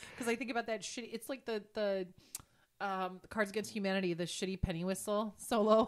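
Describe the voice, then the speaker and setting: A woman talks at a fairly quick pace in an ordinary speaking voice. Her intonation stays fairly even. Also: medium pitch for a woman. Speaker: podcast co-host. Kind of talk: casual chat.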